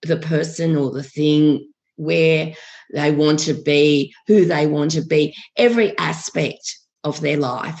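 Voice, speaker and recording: A woman talks at a very slow pace with a very deep, low pitch. Her intonation is fairly even. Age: 60s. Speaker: life coach. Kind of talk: podcast interview. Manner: hesitant, frequent ums.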